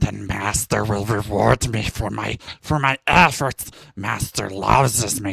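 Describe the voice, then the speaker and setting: A man's raspy, mumbling put-on character voice. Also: fairly low pitch for a man, fairly slow pace. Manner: mumbling, servile.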